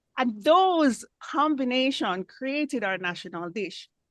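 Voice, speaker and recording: Speaking with a Jamaican accent, a woman with a high pitch talks at a very slow pace with very wide pitch swings, in a dry, close sound with no echo. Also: quiet background. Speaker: club member giving impromptu speech. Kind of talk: impromptu speech.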